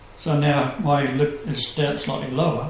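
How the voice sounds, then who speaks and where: Noticeable background noise and audible room echo surround a man with a fairly high pitch. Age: 70s. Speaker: self-proclaimed messiah radio host. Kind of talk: casual chat.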